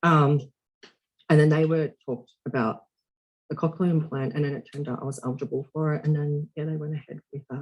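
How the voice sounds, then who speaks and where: Somewhat breathy and fairly high in pitch, a man with an Australian accent talks at a fairly quick pace with fairly even intonation. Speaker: deaf actor. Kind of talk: podcast interview.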